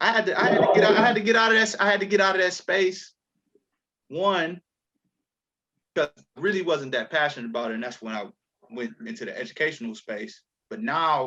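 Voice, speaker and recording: A man with a high pitch and a bright, sharp tone speaks in a raised, projected voice at a fairly quick pace, with very wide pitch swings, big swings in loudness, and long, frequent pauses. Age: 30s. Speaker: entrepreneur in a group discussion. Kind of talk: casual chat.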